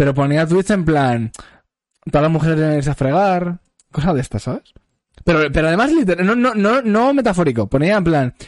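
A man with a fairly high pitch talks at a fairly quick pace, swinging very widely in pitch. His loudness stays very even, and the sound is dry and close with no echo. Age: 20s. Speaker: podcast host. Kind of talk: casual chat.

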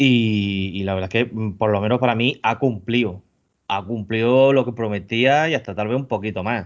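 At a moderate pace, the man speaks in a normal speaking voice, medium in pitch with ordinary pitch variation. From Murcia, Spain. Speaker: podcast co-host. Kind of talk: casual chat.

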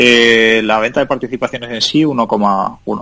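A man with a medium pitch talks very slowly, keeping his intonation fairly even. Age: 30s. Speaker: tech entrepreneur. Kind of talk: interview.

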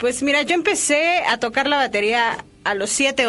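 A woman with a Mexican accent and lively intonation amid noticeable background noise. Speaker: drummer. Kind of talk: interview.

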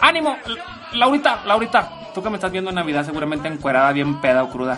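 Speaking at a very fast pace in a raised, projected voice, a man swings very widely in pitch, with audible room echo and noticeable background noise. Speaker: male guest commentator. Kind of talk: casual comedic chat. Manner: halting.

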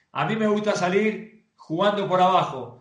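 A man's voice comes through with audible room echo. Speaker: professional footballer. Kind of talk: casual interview.

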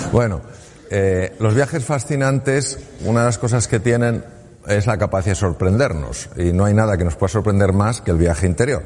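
A man talks in a normal speaking voice, fairly low in pitch, at a moderate pace. His intonation is lively and his loudness stays very even. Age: 60s. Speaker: surgeon turned speaker. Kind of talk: talk to an audience.

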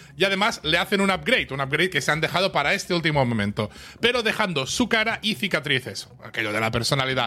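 Talking at a very fast pace, a man uses a fairly high voice with a bright, sharp tone. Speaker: podcast co-host. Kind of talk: episode recap read from notes. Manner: animated.

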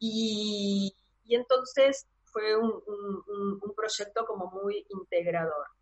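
Here a woman speaks at a very slow pace. Her pitch is fairly high, with ordinary pitch variation. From Buenos Aires, Argentina. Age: 50s. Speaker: tarot reader and astrologer. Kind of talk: interview conversation.

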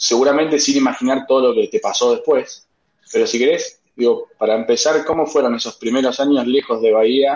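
Here a man speaks with a Rioplatense accent. He keeps a moderate pace. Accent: Argentine Spanish (rioplatense). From Argentina, General Roca. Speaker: podcast host, company director. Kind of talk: interview conversation.

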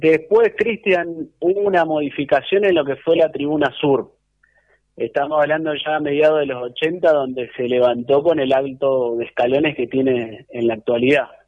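An unremarkable speaking voice from a man, fairly high in pitch, with ordinary pitch variation at a moderate pace. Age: 30s. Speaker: club historian. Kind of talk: radio interview. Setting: at home.

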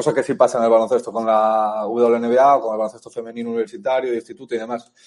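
The speech runs at a very fast pace with hardly any pauses. Its intonation stays fairly even. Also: man, medium pitch for a man. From Spain, Galicia (A Coruña). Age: 30s. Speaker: author and journalist. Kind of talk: interview.

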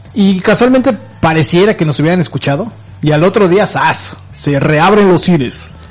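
Lively intonation and very even loudness at a moderate pace, with noticeable background noise. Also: man, high pitch for a man. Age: 40s. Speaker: radio host. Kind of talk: casual chat.

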